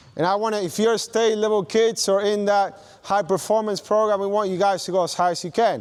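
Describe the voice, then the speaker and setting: A man with a non-native accent talks at a fairly quick pace in a high pitch. His tone is animated. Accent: foreign. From not from Australia. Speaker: basketball coach. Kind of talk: coaching clinic demonstration.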